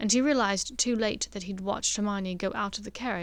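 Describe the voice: Words read aloud, plain and simple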